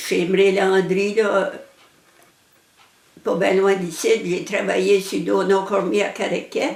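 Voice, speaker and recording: Over noticeable background noise, a woman with an Acadian accent speaks at medium pitch and a very slow pace. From Acadian New Brunswick, Canada. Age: 80s+. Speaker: elderly interviewee telling her life story. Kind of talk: personal life story interview. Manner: halting, with hesitations.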